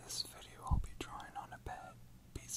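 Someone whispers at a moderate pace. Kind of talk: ASMR whispered talk while drawing. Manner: whispered.

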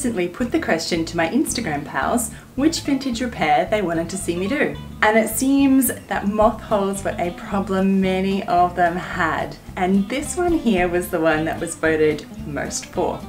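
Clear music plays behind the speaker. She is a woman talking at a moderate pace. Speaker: sewing instructor. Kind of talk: tutorial. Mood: cheerful, friendly. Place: home room.

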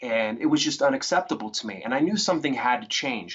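Lively intonation marks this man's speech at a fairly high pitch. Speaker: self-publishing author and YouTube creator. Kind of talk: interview conversation. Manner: animated.

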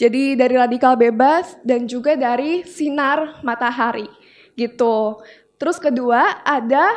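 Very slow, high-pitched speech from a woman, with ordinary pitch variation. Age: 20s. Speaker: product presenter; presenter. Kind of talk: product presentation to audience. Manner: casual, hesitant with fillers. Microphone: handheld.

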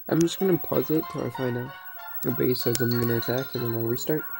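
A moderate pace over clear music in the background. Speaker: mobile gamer. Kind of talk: casual gameplay commentary. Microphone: phone near.

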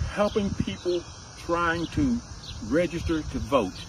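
Over noticeable background noise, a man speaks at a fairly slow pace, the sound dry with no echo. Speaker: community advocate tour guide. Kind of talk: guided tour storytelling. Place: open country. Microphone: camera far.

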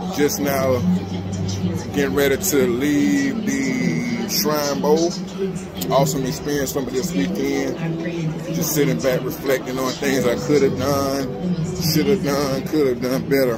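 Music plays in the background as a man speaks with long, frequent pauses. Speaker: sports agent vlogger. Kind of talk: casual vlog chat. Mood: reflective, grateful. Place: stadium. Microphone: phone near.

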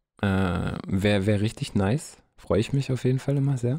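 A man's fairly low, unremarkable speaking voice at a moderate pace with ordinary pitch variation, on a very clean recording with a silent background. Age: 30s. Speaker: podcast host and musician. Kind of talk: casual solo podcast monologue. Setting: home studio.

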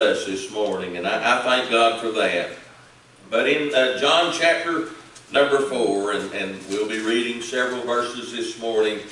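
Male speech at a moderate pace with ordinary pitch variation, audible room echo and light background noise. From Southern United States. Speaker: Baptist preacher. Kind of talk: scripture reading. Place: church.

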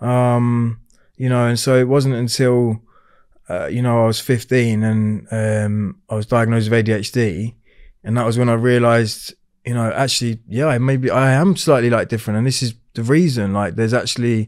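With a quiet background, a man keeps a moderate pace and fairly even intonation. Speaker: podcast guest. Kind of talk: interview answer. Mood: reflective, candid. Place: studio. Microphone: studio mic.

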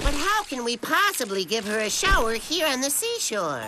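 A cartoonish character voice with a fairly high pitch moves at a moderate pace. Its pitch swings are very wide, with clear background noise. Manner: eager, caring.

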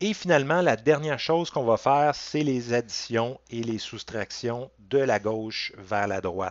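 A man speaks at a fairly slow pace in a Quebec accent. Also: quiet background, dry sound with no echo. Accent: Québécois French. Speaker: college math teacher. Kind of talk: lecture. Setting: recorded online class from home with webcam. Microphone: headset.

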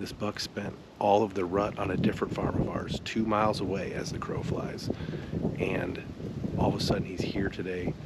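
A low-pitched man's voice with an American accent, little pitch movement and clear background noise

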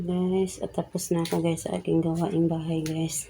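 At a fairly slow pace, the voice sounds dark and mellow, somewhat breathy, with monotone, flat intonation. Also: woman. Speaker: vlogger, homemaker. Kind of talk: casual home vlog narration. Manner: halting, many fillers.

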